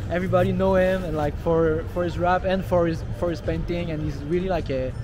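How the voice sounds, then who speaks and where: A man talks fairly quickly amid noticeable background noise, his voice carrying audible room echo. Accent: Quebec. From Montreal, Quebec. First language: French. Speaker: rapper. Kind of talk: interview. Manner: halting.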